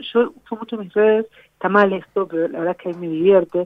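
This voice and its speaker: A woman with a plain, everyday voice, fairly even intonation and a fairly quick pace. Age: 40s. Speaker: blogger and social media specialist. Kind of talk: casual interview.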